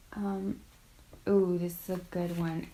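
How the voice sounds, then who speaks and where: This is a woman speaking. Her pace is very slow. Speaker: college student vlogger. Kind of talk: casual advice vlog. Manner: filler-heavy casual.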